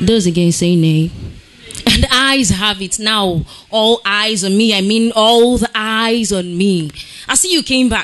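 Her voice fairly high, a woman reads at a fairly slow pace with ordinary pitch variation. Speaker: slam poet. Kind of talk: slam poetry performance. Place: stage. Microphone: handheld.

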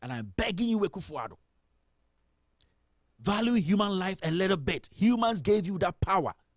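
In a dry, echo-free recording with a quiet background, a man talks at a moderate pace with lively intonation. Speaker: radio show host. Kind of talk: political commentary. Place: studio. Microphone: studio mic.

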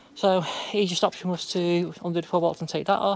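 The speech comes at a fairly quick pace, and the sound is dry with no echo. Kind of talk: tutorial. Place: farm machine. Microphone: phone near.

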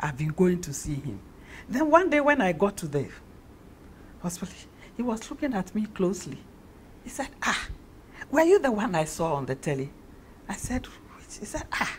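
With very wide pitch swings and a somewhat breathy quality, a woman speaks at a moderate pace, leaving long, frequent pauses. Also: medium pitch for a woman. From Ghana. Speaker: actress. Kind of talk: interview.

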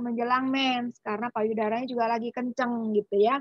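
This woman has a normal speaking voice with a fairly high pitch and fairly even intonation. She speaks at a moderate pace in a dry sound with no echo. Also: quiet background. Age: 40s. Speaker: doctor. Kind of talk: health talk. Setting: video call. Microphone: video call.

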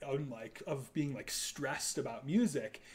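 With an American accent and lively intonation, a man talks at a moderate pace and fairly high pitch in an ordinary speaking voice. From US Midwest. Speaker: composer. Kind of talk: casual chat. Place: home room. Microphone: camera far.

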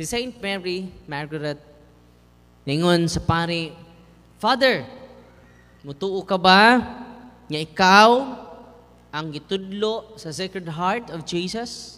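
With a bright, sharp tone and a high pitch, a man talks at a very slow pace, leaving long, frequent pauses, his loudness swinging widely and his pitch varying in an ordinary way. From Visayas, Philippines. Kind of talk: sermon. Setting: church. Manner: animated; humorous, code-switching. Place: church. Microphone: handheld.

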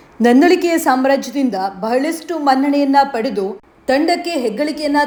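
Lively intonation from a woman with a high voice. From coastal Karnataka. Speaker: vlog narrator. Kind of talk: scripted narration. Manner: formal.

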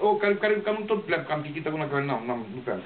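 A man's very fast speech with very wide pitch swings over light background noise. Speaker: poet. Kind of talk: casual remarks to a live audience. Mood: jovial, hesitant. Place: home room. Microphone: camera far.

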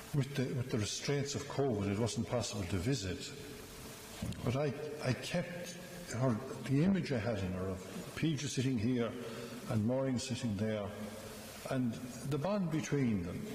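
A man at a moderate pace with long, frequent pauses, audible room echo and light background noise. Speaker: priest. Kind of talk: funeral homily. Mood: gentle, solemn, warm. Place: church. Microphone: podium.

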